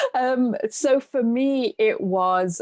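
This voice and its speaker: A woman with a British accent, recorded dry and close with no echo. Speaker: mindset coach. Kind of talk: podcast interview.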